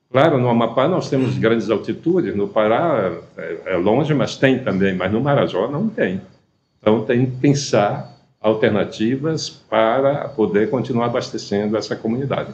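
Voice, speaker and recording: In a room with audible echo, a man talks at a moderate pace, his medium pitch carrying lively intonation. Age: 70s. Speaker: former politician. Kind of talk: TV interview. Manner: halting.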